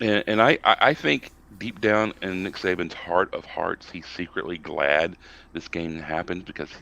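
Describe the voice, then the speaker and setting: A man with a Southern US accent. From US South. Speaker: college football podcast panelist. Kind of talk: casual sports discussion. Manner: animated, ranting; halting with many fillers.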